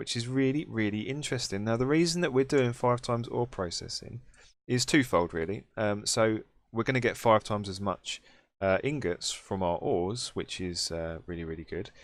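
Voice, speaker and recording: Recorded very cleanly against a silent background, a man of medium pitch speaks in a British accent at a moderate pace with lively intonation. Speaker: gaming YouTuber. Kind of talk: Let's Play commentary. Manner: casual, chatty.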